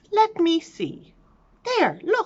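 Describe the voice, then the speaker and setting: A woman puts on a squeaky character voice at an extremely high pitch. Her tone is warm and gentle. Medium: read story. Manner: warm, gentle.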